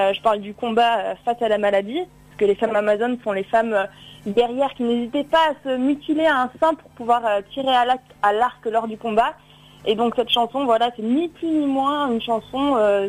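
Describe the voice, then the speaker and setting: This woman's voice sits fairly high in pitch, with ordinary pitch variation. She speaks at a moderate pace. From Drôme, southeastern France. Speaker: singer-songwriter. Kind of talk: radio interview. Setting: phone call. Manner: halting, many repetitions.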